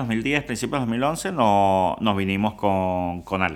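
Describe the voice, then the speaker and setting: A man talks at a fairly slow pace. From Venezuela. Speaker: food influencer and home cook. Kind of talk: casual interview chat.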